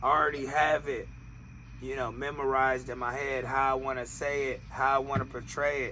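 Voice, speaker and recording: Speaking at a fairly quick pace, a man with a medium-pitched voice keeps a monotone, flat intonation in a room with audible echo. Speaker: podcast co-host, rapper. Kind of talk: casual chat.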